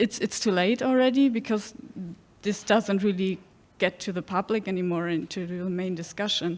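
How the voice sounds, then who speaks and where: In a German accent, the speaker goes at a moderate pace with ordinary pitch variation. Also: woman, medium pitch for a woman. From Germany. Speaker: audience member. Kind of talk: audience question at seminar. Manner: halting, many fillers.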